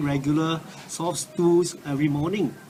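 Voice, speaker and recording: A man speaks with a fairly high pitch. Noticeable background noise and audible room echo fill the recording. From Singapore. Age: 60s. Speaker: cancer patient giving a product testimonial. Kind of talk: testimony. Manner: halting, many fillers.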